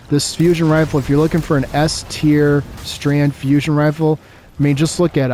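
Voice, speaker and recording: Music can be heard in the background. Over it, a man talks with a fairly high pitch. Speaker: gaming content creator. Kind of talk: gameplay commentary, casual talk to viewers.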